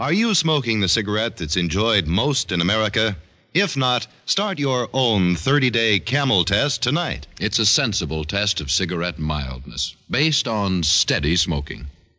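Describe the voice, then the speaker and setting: A man's upbeat, fairly low voice with vocal fry, very wide pitch swings and very even loudness, at a moderate pace. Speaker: radio commercial announcer. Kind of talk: 1950s radio cigarette advertisement, sales pitch. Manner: smooth, upbeat, salesmanlike.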